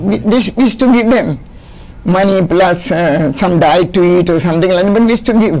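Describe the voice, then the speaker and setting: Lively intonation comes at a fairly quick pace and very even loudness, with noticeable background noise present. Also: woman, medium pitch for a woman. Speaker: retired sports teacher and volleyball coach. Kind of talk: interview. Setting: studio.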